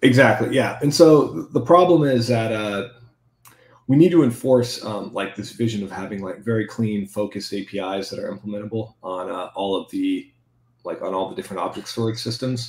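With lively intonation and big swings in loudness, a man talks at a moderate pace. Audible room echo surrounds his voice. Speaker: software engineer. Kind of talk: technical interview. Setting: video call. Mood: relaxed technical explanation. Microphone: video call.

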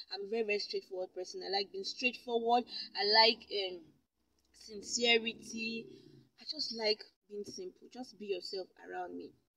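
A woman with a fairly high voice and a bright, sharp tone talks at a moderate pace, with ordinary pitch variation and big swings in loudness. The sound is dry with no echo, and light background noise is present. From Nigeria (Kogi State). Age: adult. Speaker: YouTuber. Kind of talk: vlog Q&A to camera. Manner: animated, frequent laughs. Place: car. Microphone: phone near.

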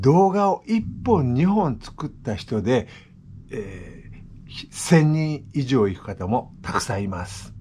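Very slow and somewhat breathy, a man speaks in a relaxed, dark, mellow tone with very wide pitch swings and big swings in loudness over light background noise. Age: 60s. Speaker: vlogger. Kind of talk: casual vlog monologue; casual vlog chat. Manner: relaxed, halting with fillers. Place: home room. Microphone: phone near.

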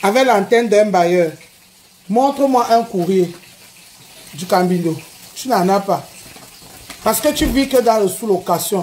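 A woman at a fairly slow pace, with lively intonation, long, frequent pauses and light background noise. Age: 40s. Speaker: social media personality; live streamer. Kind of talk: live stream rant. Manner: animated. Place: home room. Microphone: phone near.

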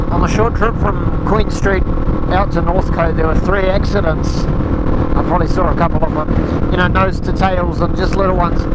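The speech moves at a fairly quick pace in a dry sound with no echo, against loud background noise. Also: man. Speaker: motorcycle vlogger. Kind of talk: casual vlog chat. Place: motorbike. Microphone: helmet.

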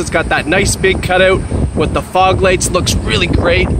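Loud background noise fills this dry recording with no echo, where a man talks at a moderate pace. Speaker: car salesperson. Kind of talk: sales walkaround commentary. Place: street. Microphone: phone near.

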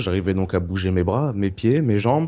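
A man talks in a plain, everyday voice. His pitch sits fairly low and varies in an ordinary way. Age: 20s. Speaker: car accident survivor. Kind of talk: testimony.

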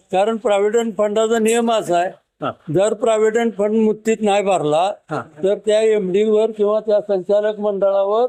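Pitched high for a man, his dark, mellow voice keeps a fairly even intonation and very even loudness. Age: old. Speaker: former sugar cooperative director. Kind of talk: field interview.

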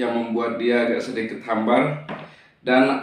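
The man talks at a very slow pace. Audible room echo surrounds his voice. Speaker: mukbang vlogger. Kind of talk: casual talk to camera. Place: home room.

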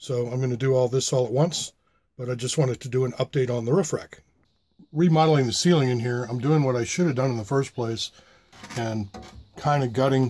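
With a dark, mellow, somewhat breathy tone, a man speaks at a fairly quick pace with fairly even intonation. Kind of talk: casual vlog chat. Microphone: phone near.

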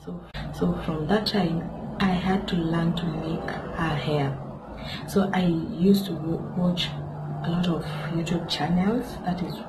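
A woman talks very slowly, leaving long, frequent pauses, with noticeable background noise behind her. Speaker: hair vlogger. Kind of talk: casual vlog chat. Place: home room. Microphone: phone near.

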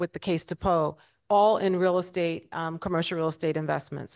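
A woman with a fairly low pitch and an American accent talks at a moderate pace in a monotone, flat delivery against a quiet background. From New York City (South Jamaica, Queens); New York City. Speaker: investment firm CEO, panelist; panelist. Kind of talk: panel discussion. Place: hall. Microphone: handheld.

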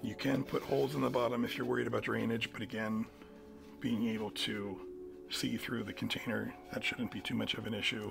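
Clear music runs in the background. A man talks over it at a fairly quick pace. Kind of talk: tutorial. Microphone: phone near.

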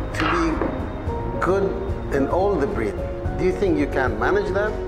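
Over loud background music, a man speaks at a fairly slow pace. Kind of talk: informal talk to a group. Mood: relaxed, instructive. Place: hall. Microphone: lapel.

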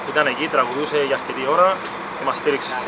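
The speech moves at a fairly quick pace. Loud background noise runs underneath it. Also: man. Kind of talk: interview answer. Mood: calm, satisfied after a win. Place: stadium. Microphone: phone near.

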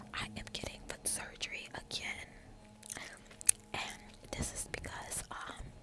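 A woman is whispering. Her pace is fairly slow. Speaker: ASMR content creator. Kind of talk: casual talk to camera. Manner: whispered. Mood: frank, sometimes upset. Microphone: phone near.

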